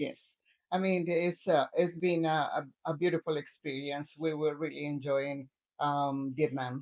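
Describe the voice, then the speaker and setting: With a Spanish accent, a woman speaks at a fairly slow pace in a very deep, low pitch with fairly even intonation. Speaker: retired travel vlogger. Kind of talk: casual chat. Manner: halting.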